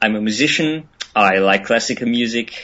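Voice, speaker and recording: A man with a German accent speaks at a medium pitch and a fairly slow pace, his intonation fairly even. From Germany. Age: 20s. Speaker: musician. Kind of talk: interview. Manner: hesitant, many fillers.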